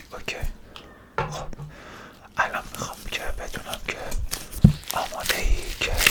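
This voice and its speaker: A woman whispering in a calm tone, with long, frequent pauses and noticeable background noise. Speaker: ASMR creator doing a brain-washing roleplay as a doctor. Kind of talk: ASMR roleplay personal attention, soothing. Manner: soft, calm, slow, reassuring.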